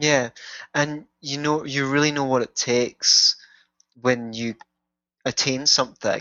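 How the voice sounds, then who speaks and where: A man with a Scottish accent, fairly high-pitched, monotone and flat, with long, frequent pauses. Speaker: author and life coach, musician. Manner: well spoken, somewhat posh.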